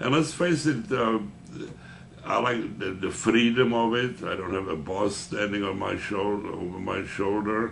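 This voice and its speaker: A fairly low male voice with ordinary pitch variation, at a fairly slow pace, in audible room echo. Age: 80s+. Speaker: veteran insurance salesman. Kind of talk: interview.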